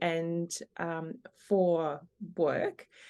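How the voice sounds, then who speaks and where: With an Australian accent, a woman speaks in a dark, mellow tone. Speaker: operational efficiency consultant. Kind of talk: podcast interview.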